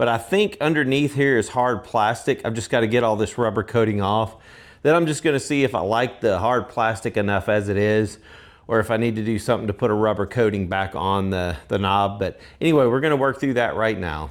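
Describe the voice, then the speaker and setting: A man speaks fairly quickly at a medium pitch, with ordinary pitch variation. The recording is very clean, with a silent background. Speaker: DIY tool repair youtuber. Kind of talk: tutorial. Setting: workshop with metal roof. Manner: casual with fillers; loud.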